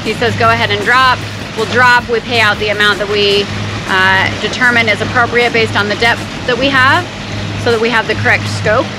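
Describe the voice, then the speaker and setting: A woman at a fairly quick pace, with noticeable background noise. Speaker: sailing vlogger. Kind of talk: casual vlog chat explaining a procedure. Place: boat. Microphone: phone near.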